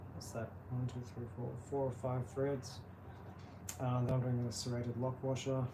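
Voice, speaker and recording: Mumbling at a moderate pace, a man speaks in a monotone, flat way with a dark, mellow, somewhat breathy tone, and room echo is audible. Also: medium pitch for a man. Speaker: pedal builder. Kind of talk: live build tutorial. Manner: casual, halting.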